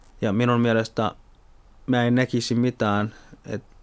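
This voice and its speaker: This man's voice sits at a medium pitch with fairly even intonation. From Somalia. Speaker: party activist and politician. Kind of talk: interview.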